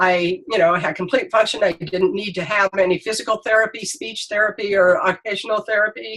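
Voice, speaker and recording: A woman with a medium pitch and ordinary pitch variation talks at a fairly quick pace with hardly any pauses, over noticeable background noise. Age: 60s. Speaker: stroke survivor sharing health story. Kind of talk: testimony. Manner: halting, many fillers.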